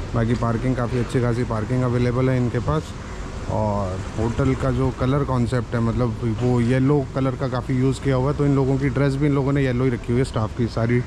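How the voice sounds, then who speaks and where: Over noticeable background noise, a man talks at a moderate pace with very even loudness and fairly even intonation. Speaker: travel vlogger. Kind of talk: casual vlog chat. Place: street. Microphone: phone near.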